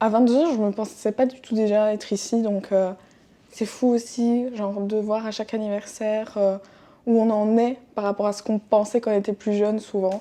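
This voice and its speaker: A woman's dark, mellow voice at a medium pitch, with flat, monotone intonation. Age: 20s. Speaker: podcaster. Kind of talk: casual monologue. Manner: hesitant with many fillers.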